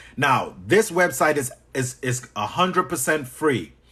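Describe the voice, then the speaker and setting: A man in a Trinidadian accent with lively intonation, against a quiet background. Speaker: business coach. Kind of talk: live stream tutorial. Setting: live stream. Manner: animated.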